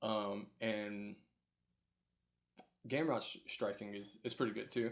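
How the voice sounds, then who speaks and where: A man mumbles at a fairly low pitch. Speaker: MMA podcast host. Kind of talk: solo podcast recap. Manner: mumbling; hesitant, many fillers.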